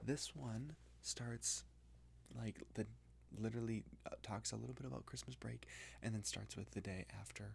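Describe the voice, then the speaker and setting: A man is whispering. He is soft-spoken. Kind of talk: casual talk to camera, book review. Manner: soft-spoken, whispered.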